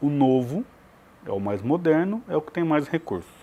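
With lively intonation and a dark, mellow tone, a man talks at a moderate pace in a fairly high pitch. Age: 40s. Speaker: writer and literature academic, founder of a writers' academy. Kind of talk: TV interview.

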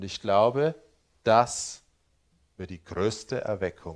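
Ordinary pitch variation marks a man's very slow speech. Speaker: preacher. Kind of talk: sermon. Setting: church. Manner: earnest, teaching tone with rhetorical 'Ja?' check-ins; pastoral, explanatory, humble hedging.

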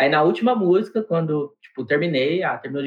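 Talking at a very fast pace, a man uses a fairly high pitch. His words come out rapidly. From Diadema, São Paulo (ABC region), Brazil. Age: 30s. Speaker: rock band drummer. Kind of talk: casual interview chat.

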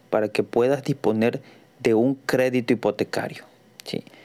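A man speaks at a medium pitch. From Mexico, Tabasco. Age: 40s. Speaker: real estate advisor and podcaster. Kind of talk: solo podcast monologue. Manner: halting, many fillers.

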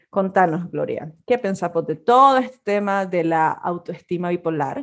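A woman speaks with a fairly low pitch at a moderate pace. The recording is very clean, with a silent background. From Nicaragua. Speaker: podcast co-host, communicator and photographer. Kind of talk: casual chat.

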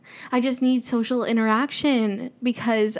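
An animated woman's voice, high-pitched and fairly slow. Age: 20s. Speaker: independent podcaster. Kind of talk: casual solo monologue. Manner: animated, frequent laughter.

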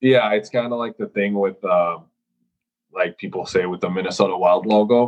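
The speaker has a slight Finnish accent, a moderate pace and ordinary pitch variation. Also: man, fairly low pitch for a man. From Finland. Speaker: professional hockey goaltender. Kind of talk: casual interview.

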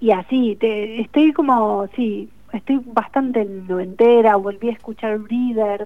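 Using an ordinary speaking voice, a woman with a fairly high pitch talks at a fairly slow pace with fairly even intonation. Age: 40s. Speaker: novelist. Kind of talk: radio interview.

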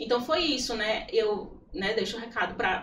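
The voice moves at a moderate pace with ordinary pitch variation, over audible room echo and noticeable background noise. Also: woman. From Piauí (Corrente and Teresina). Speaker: churchgoer, psychology field. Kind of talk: testimony in a casual interview.

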